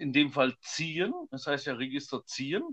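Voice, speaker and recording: Dry and close with no echo, a man's voice comes through bright and sharp, fairly high in pitch, at a moderate pace. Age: 30s. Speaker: church musician, podcast co-host. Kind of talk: casual chat.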